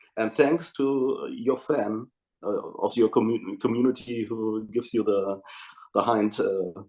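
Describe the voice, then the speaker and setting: A man speaks with a dark, mellow tone at a medium pitch. His pace is fairly slow, with ordinary pitch variation. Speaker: band singer. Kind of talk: interview answer. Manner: halting.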